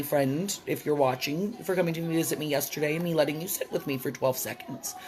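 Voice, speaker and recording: A woman with a very deep, low pitch talks at a very fast pace with ordinary pitch variation against noticeable background noise. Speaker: vlogger. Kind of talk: casual vlog monologue.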